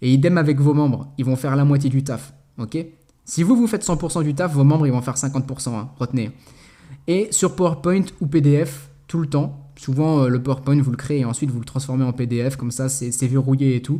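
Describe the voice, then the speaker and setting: With big swings in loudness, a man speaks at a fairly high pitch in a somewhat breathy voice with a dark, mellow tone. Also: ordinary pitch variation, fairly quick pace. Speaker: network marketing trainer. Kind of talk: tutorial. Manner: fast; casual.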